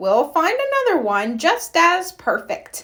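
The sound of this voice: Putting on a character voice, a woman speaks slowly in an extremely high pitch with very wide pitch swings and a fairly bright tone.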